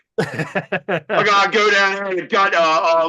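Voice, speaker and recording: An American man with a high pitch uses a raised, projected voice. His intonation stays fairly even. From Baltimore area, US. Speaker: podcast co-host. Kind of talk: casual chat.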